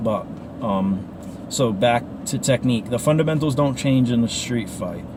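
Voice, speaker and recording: Through noticeable background noise, a man with an American accent talks at a moderate pace, medium pitch and ordinary pitch variation. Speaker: martial arts instructor. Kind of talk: casual talk to camera while driving. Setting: in a car. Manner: casual, rambling.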